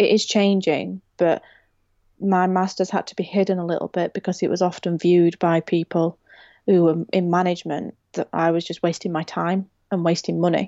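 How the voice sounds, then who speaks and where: A woman speaks in a fairly low pitch. Her intonation is monotone and flat. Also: moderate pace. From Rotherham, South Yorkshire. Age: 20s. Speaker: construction design professional. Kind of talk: casual interview.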